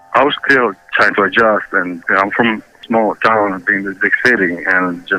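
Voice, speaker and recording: A man with a Ukrainian accent and fairly even intonation. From Ukraine. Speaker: interviewee. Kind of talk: interview. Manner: halting.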